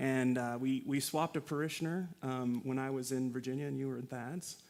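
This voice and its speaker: A man with an American accent speaks at a fairly quick pace in a medium pitch. His intonation stays fairly even on a very clean recording with a silent background. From California. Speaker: priest. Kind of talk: casual interview. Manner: hesitant, many fillers.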